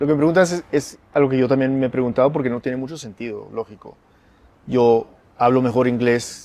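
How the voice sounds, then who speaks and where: At a fairly quick pace, a man talks in a dark, mellow tone with fairly even intonation. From United States, Peruvian family. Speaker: writer and radio founder. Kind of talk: interview conversation.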